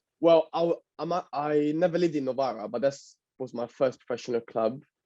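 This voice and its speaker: Speaking at a fairly quick pace in an Italian accent, this voice has a dark, mellow tone and ordinary pitch variation. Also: man, fairly high pitch for a man. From northern Italy. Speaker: footballer. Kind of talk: interview. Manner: halting.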